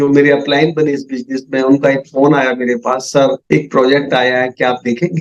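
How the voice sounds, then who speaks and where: Fairly high in pitch, a man is speaking. His pace is moderate. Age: 60s. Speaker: network marketing leader. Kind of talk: business presentation. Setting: video call. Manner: animated.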